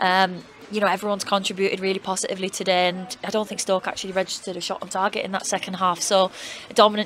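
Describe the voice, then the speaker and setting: Very fast and flat in a monotone, a woman speaks at medium pitch over noticeable background noise. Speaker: football team manager. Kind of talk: post-match interview. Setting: outdoors at a stadium.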